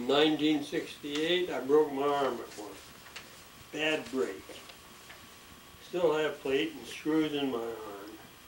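A man with an American accent at a very slow pace, long and frequent pauses, audible room echo and light background noise. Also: ordinary pitch variation. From USA, Pennsylvania. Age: 80s+. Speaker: retired sewage plant operator. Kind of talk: autobiography reading. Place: home room. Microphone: camera far.

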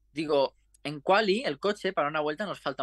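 Pitched high, a man talks at a moderate pace with very wide pitch swings. The sound is dry with no echo against a quiet background. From Spain, Catalonia. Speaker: racing driver; guest. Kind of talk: interview; interview answer. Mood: reflective, proud. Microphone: video call.

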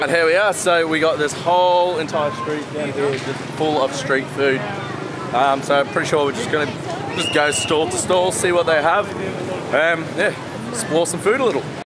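Loud background noise fills the recording. Over it, a man speaks at a moderate pace with ordinary pitch variation. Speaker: travel vlogger. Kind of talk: casual vlog chat. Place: street. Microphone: phone near.

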